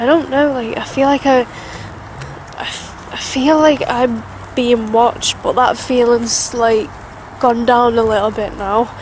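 A woman's high-pitched voice at a fairly slow pace, dry with no echo, over light background noise. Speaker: vlogger. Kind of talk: casual vlog chat. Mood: scared, then relieved. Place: forest. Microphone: phone near.

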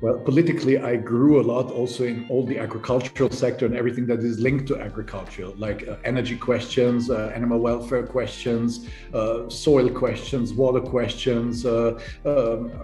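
Delivered at a moderate pace, the speech has a monotone, flat intonation. Faint music plays in the background, and the room echo is audible. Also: man. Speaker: invited guest politician. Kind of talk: interview answer. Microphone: video call.

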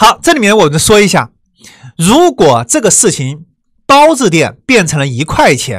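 Someone speaks fairly slowly in a Wuhan accent. The recording is very clean, with a silent background. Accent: Wuhan accent, noticeable. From China, Wuhan. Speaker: online course teacher. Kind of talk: lecture. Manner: conversational, many filler sounds.

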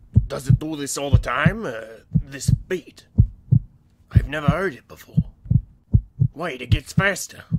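A man's put-on character voice, fairly high-pitched, at a moderate pace with long, frequent pauses. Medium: dub. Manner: soft, tender.

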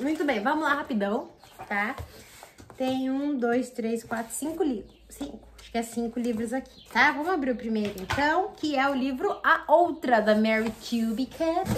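The intonation is lively, the pace moderate, and the loudness swings widely. Light background noise sits underneath. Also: woman, high pitch for a woman. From Brazil. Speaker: book youtuber; book vlogger. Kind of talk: casual vlog unboxing. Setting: at home. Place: home room. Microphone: phone near.

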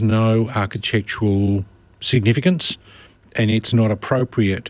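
A man talks at a fairly slow pace in an Australian accent. The sound is dry, with no echo. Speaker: lawyer. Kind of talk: radio legal advice. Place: studio.

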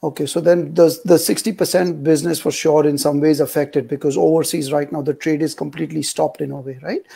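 Over a quiet background, a man with a fairly high pitch and a dark, mellow tone speaks at a very fast pace, with vocal fry, fairly even intonation and hardly any pauses. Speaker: online show host. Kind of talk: casual interview. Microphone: earbuds.

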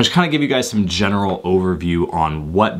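Very deep and low, the man's voice rumbles as he talks. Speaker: tech video creator. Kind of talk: casual tech talk to camera. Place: home room.

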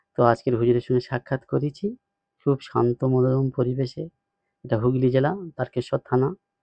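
Speaking at medium pitch, a man with an unremarkable speaking voice keeps fairly even intonation and very even loudness. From South 24 Parganas, West Bengal. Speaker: Islamic cleric and course student. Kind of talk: testimonial. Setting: in person visit.

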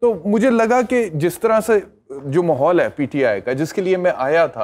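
Very wide pitch swings from a man speaking at a moderate pace. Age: 40s. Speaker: lawyer and TV anchor; lawyer, TV anchor. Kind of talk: talk show interview. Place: studio. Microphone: lapel.

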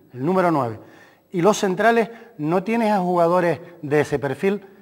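Against a quiet background, a man speaks with a high pitch. His intonation is lively. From Canary Islands. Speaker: sports doctor and football coach; football coach. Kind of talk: casual chat. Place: studio.

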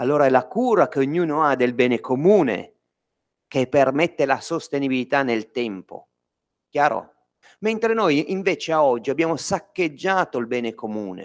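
A man at a moderate pace, lively intonation, and a quiet background. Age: 40s. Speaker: business owner; speaker. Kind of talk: lecture. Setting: stage with audience. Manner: animated. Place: hall.

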